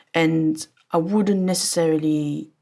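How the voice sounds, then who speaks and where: The speech, in a French accent, is captured on a very clean recording with a silent background. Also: woman. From France. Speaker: audio engineer. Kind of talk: casual interview chat.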